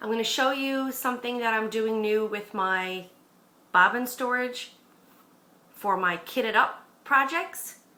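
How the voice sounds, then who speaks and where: A woman's fairly high voice with ordinary pitch variation, at a fairly slow pace, in a room with audible echo. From Newfoundland, Canada. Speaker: crafting vlogger. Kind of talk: casual vlog chat. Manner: slower than usual.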